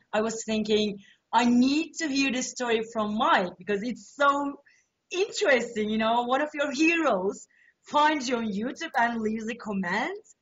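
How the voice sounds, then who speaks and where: A woman speaks in a high voice at a moderate pace. Her pitch varies in an ordinary way. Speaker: interviewer. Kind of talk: interview. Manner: loud; animated.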